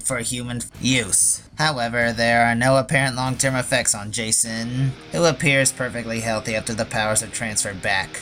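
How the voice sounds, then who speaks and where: A man speaks at a fairly quick pace in a medium pitch with fairly even intonation, with music playing in the background. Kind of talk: scripted commentary narration. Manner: sarcastic, casual.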